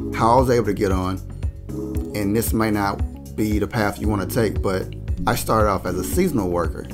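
Clear music plays in the background as a man speaks at a moderate pace in a fairly low pitch. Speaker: job advice vlogger. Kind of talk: tutorial. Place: home room. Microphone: studio mic.

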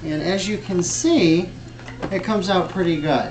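Over clear music in the background, the speech moves at a very slow pace with ordinary pitch variation. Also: man. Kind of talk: mock cooking show presentation. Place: home room. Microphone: camera far.

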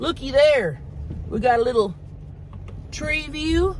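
A woman at a fairly slow pace, dry sound with no echo, light background noise underneath. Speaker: food vlogger. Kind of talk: casual vlog chat. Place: car. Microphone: phone near.

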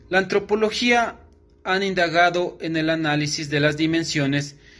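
A man speaks at a high pitch in a bright, sharp tone. His pace is fairly slow. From Ecuador, Carchi province (Tulcán); Carchi province, Ecuador. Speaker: law student; student or commentator. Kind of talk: recorded class assignment. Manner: formal. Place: home room. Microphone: phone near.

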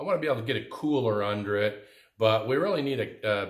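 A man at a moderate pace, quiet background, audible room echo. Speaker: DIY woodworking channel host. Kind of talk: casual vlog chat. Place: workshop. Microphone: phone near.

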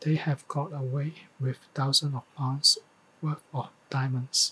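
Over light background noise, a man speaks at a fairly slow pace with a bright, sharp tone and monotone, flat intonation. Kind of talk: reading practice of a news text. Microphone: studio mic.

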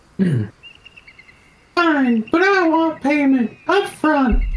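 This is a put-on character voice pitched high. It goes at a very slow pace.

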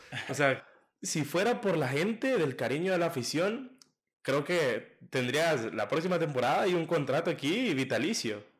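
A man speaks at a fairly slow pace with very wide pitch swings and very even loudness over a quiet background. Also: fairly high pitch for a man. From El Salvador. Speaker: podcast host. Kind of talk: casual interview. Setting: studio. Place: home room. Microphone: studio mic.

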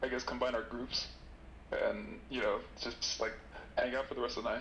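Audible room echo and noticeable background noise around a man's moderately paced speech. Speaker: caller. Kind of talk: casual chat.

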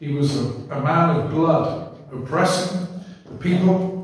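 Strong room echo fills the space as a man speaks at fairly high pitch. He goes at a very slow pace with ordinary pitch variation. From England. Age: old. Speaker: preacher. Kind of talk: sermon. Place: church.

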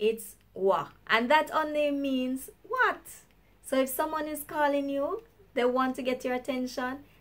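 Upbeat and high-pitched, a woman speaks with a Jamaican accent. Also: ordinary pitch variation, fairly slow pace. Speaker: YouTuber. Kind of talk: casual talk to camera; language lesson.

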